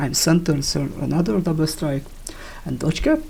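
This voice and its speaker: A man is speaking. He has a non-native accent. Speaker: video game player. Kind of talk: game build tutorial talk. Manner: casual, hesitant.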